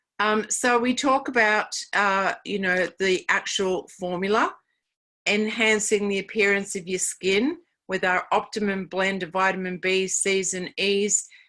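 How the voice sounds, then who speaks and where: On a very clean recording with a silent background, a woman speaks at a fairly slow pace with a bright, sharp tone and fairly even intonation. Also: medium pitch for a woman. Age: 60s. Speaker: network marketing distributor. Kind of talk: sales pitch.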